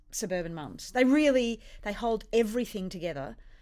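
On a very clean recording with a silent background, a woman with an Australian accent speaks at a moderate pace and a fairly high pitch, her intonation lively. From India and Australia. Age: 40s. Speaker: comedian. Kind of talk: casual chat.

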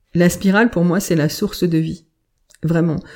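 At a fairly quick pace, a woman speaks with a fairly low pitch, a dark, mellow tone and ordinary pitch variation. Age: 40s. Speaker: medium and healer, former corporate sustainability director. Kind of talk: interview, personal life story. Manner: hesitant, many fillers and repetitions.

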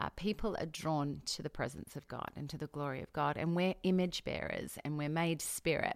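Very deep and low in pitch, a woman with an Australian accent speaks at a moderate pace with ordinary pitch variation in a very clean recording with a silent background. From Australia, Adelaide. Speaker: pastor. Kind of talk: interview.

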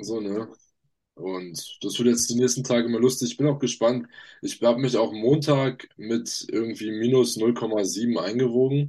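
A man speaks at a medium pitch and a fairly slow pace, his dark, mellow tone carrying fairly even intonation over a quiet background. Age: young. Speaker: fitness podcast co-host, trainee electronics technician. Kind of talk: casual chat. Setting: video call.

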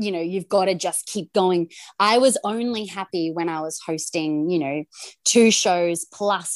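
A woman with an Australian accent talks at a fairly slow pace and fairly low pitch. The sound is dry and close, with no echo. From Australia, Gold Coast. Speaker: TV presenter. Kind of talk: casual chat.

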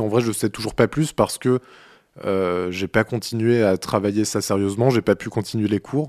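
At a moderate pace, a man talks with medium pitch and ordinary pitch variation. The sound is dry and close with no echo, over a quiet background. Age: 20s. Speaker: musician and podcaster. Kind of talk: personal audio diary monologue. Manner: halting.

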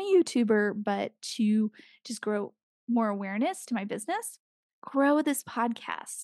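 There is no echo, and the audio is dry and close. Little or nothing stirs behind the voice, leaving a quiet background. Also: woman. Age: 30s. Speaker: podcast host, business owner. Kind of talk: casual solo monologue. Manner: casual, rambling with fillers.

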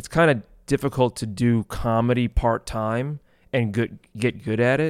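On a very clean, dry and close recording with no echo and a silent background, a man speaks in a plain, everyday voice at medium pitch with fairly even intonation. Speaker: podcast producer. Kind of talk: casual chat.

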